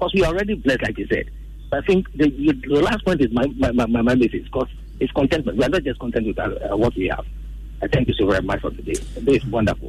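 Noticeable noise sits behind a man who speaks very fast. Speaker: radio call-in caller. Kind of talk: phone-in comment.

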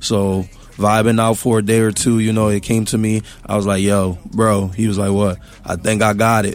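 A man speaks with a Philadelphia accent at a fairly low pitch. His fairly quick delivery stays monotone and flat. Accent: Philadelphia American English. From US, West Philadelphia. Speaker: musician. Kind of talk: casual interview.

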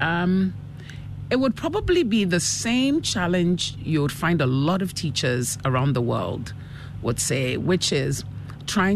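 Noticeable background noise sits behind a woman speaking at a very slow pace. Her intonation is lively. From Ghana. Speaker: school principal. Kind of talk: casual interview chat. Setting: radio studio interview.

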